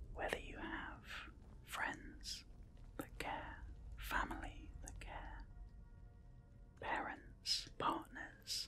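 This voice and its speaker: Whispering in a British accent, a man speaks at a very slow pace with long, frequent pauses. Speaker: mental health awareness campaigner. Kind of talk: ASMR gaming whisper ramble. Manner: whispered, slow, soft-spoken.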